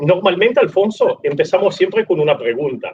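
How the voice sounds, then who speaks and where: A man with an Italian accent. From Italy. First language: Italian (speaking Spanish). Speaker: rugby podcast host. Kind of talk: live interview.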